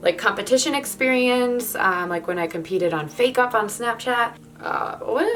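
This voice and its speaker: A woman talks in a fairly high pitch with a relaxed tone and lively intonation. Music plays in the background. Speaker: body paint artist. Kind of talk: casual chat while painting. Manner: relaxed, chatty with fillers.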